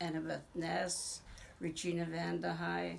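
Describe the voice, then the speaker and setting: A woman talks at a very slow pace, her voice carrying audible room echo. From Green Bay, Wisconsin. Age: 70s. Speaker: interviewee, family elder. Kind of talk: oral history interview. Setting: at her home.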